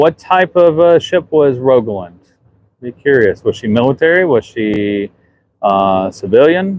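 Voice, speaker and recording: Intonation is lively in this man's voice. He has a Southern US accent. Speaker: museum ship superintendent. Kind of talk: livestream walkthrough. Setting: outdoors on a ship underway. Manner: casual, halting.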